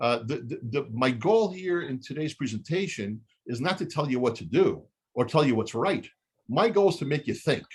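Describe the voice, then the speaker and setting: A man talks at a moderate pace with a fairly high pitch and very wide pitch swings. His voice is somewhat breathy. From Israel. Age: 60s. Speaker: chemist and real estate investor. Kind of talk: webinar Q&A. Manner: halting.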